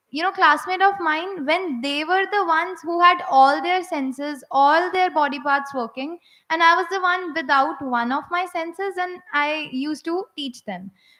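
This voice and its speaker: A woman speaks at an extremely high pitch in a raised, projected voice, at a moderate pace with hardly any pauses and ordinary pitch variation. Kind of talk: personal testimony speech. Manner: halting, with repetitions and fillers.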